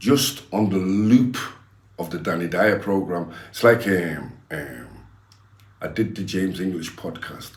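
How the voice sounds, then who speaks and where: An animated voice with big swings in loudness, long and frequent pauses, and audible room echo. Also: man, very deep, low pitch for a man, ordinary pitch variation, fairly slow pace. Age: 60s. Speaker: former gangster turned preacher. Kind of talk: interview.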